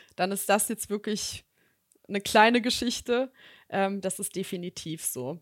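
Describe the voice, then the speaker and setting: A woman's unremarkable speaking voice at a medium pitch and moderate pace, dry and close with no echo, in a very clean recording with a silent background. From Germany, Bonn. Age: 30s. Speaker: executive recruiter. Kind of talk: podcast interview.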